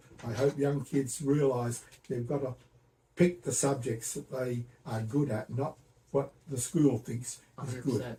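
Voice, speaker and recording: In an Australian accent, a man speaks at a fairly slow pace and a medium pitch. His voice is somewhat breathy, with fairly even intonation. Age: 80s+. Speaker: retired computer engineer. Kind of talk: interview answer.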